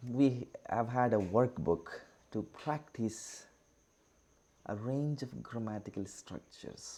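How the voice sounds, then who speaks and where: A man with an Indian accent speaks very slowly, his medium-pitched voice dark and mellow in tone. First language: Indian language, not English. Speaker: teacher. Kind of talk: online lecture. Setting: online class with screen share. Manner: halting, with many fillers.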